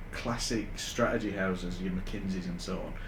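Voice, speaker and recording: A man talks with a northern English accent and lively intonation. Audible room echo surrounds his voice. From northern England, Huddersfield. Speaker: AI consultant. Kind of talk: podcast interview. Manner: hesitant, many fillers.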